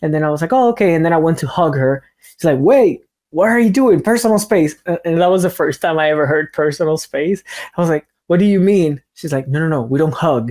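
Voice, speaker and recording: Using a Spanish accent, a man speaks at a high pitch with lively intonation and a fairly quick pace. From Cuba. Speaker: language teacher. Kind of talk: online seminar talk. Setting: online seminar. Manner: hesitant, word repetitions.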